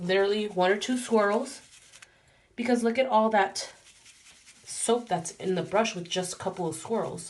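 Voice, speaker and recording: The speech comes with long, frequent pauses over noticeable background noise. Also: moderate pace. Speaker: beauty vlogger. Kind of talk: tutorial. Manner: casual.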